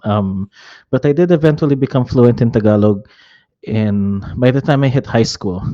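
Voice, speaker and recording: A dark, mellow tone comes through in a Filipino accent at a moderate pace. Pitch varies in an ordinary way, and the background is quiet. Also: man, medium pitch for a man. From Metro Manila, Philippines (born Hong Kong). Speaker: real estate and insurance agent. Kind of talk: casual interview.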